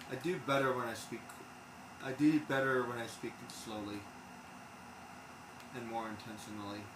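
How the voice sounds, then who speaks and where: With audible room echo, a man of medium pitch speaks at a moderate pace with ordinary pitch variation and long, frequent pauses. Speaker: game streamer. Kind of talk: casual chat. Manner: stumbles over words.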